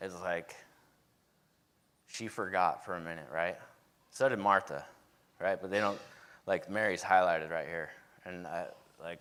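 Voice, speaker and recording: A man with a very deep, low pitch speaks at a moderate pace in a very clean recording with a silent background. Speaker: preacher. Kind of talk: sermon. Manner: casual, conversational.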